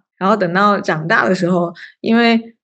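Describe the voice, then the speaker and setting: A woman talks in a plain, everyday voice at a medium pitch. Her pace is moderate. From southern China, moved to US at 16. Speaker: startup founder. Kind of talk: interview.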